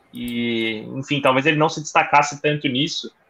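Here is a man with an unremarkable speaking voice and a fairly high pitch. He keeps a moderate pace and fairly even intonation. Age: young. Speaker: sports journalist. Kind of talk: casual chat.

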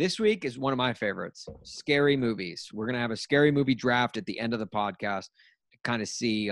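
A man speaks in an ordinary speaking voice at medium pitch and moderate pace. The sound is dry and close with no echo, over a quiet background. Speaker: podcast host. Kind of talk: casual sports podcast chat.

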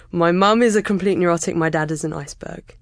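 A woman with a southern English accent, fairly low in pitch, at a moderate pace. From England, near London (Kingston). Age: 30s. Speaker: podcast listener and podcaster. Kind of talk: personal interview about mental health. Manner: pauses and stammers, talks a lot.

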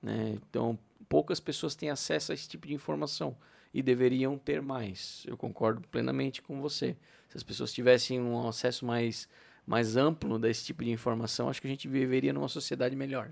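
An unremarkable speaking voice belongs to this man, medium in pitch. He keeps a moderate pace and lively intonation. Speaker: podcast co-host. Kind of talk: casual chat.

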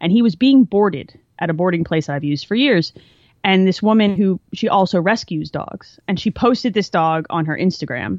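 At a moderate pace and medium pitch, a woman uses a normal speaking voice with lively intonation, the sound dry and close with no echo. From New Jersey, near Philadelphia. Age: 30s. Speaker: engineer and gamer. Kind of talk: casual chat. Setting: video call.

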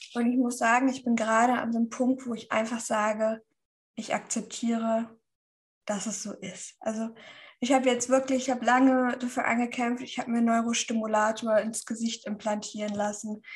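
This woman has a fairly high pitch. Her intonation is monotone and flat. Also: moderate pace. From northern Germany, Schleswig-Holstein. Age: 30s. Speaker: keto nutrition influencer. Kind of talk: interview.

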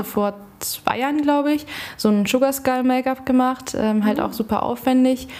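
Noticeable background noise sits under speech that runs at a fairly quick pace. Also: woman. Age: 20s. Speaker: student teacher and children's party entertainer. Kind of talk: casual chat.

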